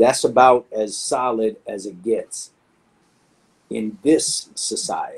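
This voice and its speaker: A man with a New York accent at a very slow pace, with big swings in loudness and long, frequent pauses. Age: 50s. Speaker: graffiti artist. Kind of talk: interview. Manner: animated.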